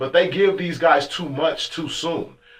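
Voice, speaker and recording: With an American accent, a man speaks in an animated tone at a high pitch over noticeable background noise. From California, Fresno. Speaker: radio host. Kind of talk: casual chat.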